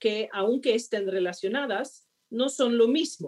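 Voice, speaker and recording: A woman speaks very slowly in a Swedish accent. Her pitch sits fairly high. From Sweden. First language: Swedish (speaking Spanish). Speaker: diplomat. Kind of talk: panel conversation.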